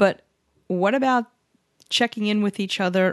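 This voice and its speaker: Over a quiet background, a woman in a normal speaking voice talks at a medium pitch with ordinary pitch variation. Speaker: podcast host. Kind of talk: casual interview chat.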